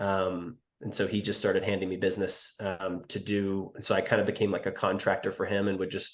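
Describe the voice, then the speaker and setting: With an American accent, a man talks at a fairly quick pace with hardly any pauses against a quiet background. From US South, rural southern Virginia Appalachia. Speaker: accountant and business owner. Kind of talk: casual podcast interview.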